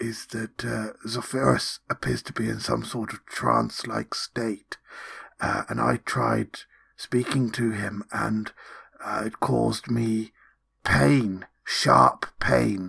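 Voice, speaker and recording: A put-on character voice comes through raspy. It moves at a very slow pace. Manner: chatty, whispered, rambling.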